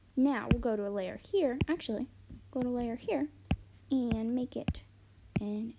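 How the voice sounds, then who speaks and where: Mumbling and soft-spoken, a woman talks at a fairly high pitch with ordinary pitch variation. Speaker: artist live-streaming drawing. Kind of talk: casual live-stream commentary while drawing. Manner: quiet, soft-spoken.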